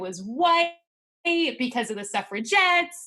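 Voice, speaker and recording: A high-pitched woman at a fairly slow pace, with very wide pitch swings. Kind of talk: interview.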